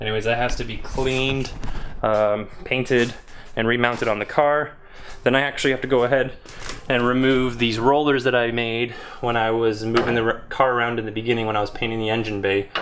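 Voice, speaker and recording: With audible room echo behind him, a man speaks at a fairly quick pace, medium in pitch, in a monotone, flat intonation. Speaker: car DIY video maker. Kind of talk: casual vlog narration.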